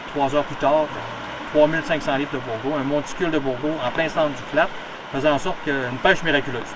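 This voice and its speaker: A man's fairly high voice at a very fast pace, fairly even in intonation, with audible room echo and noticeable background noise. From Quebec, Gaspésie. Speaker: town mayor. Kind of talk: storytelling interview. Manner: hesitant, many fillers.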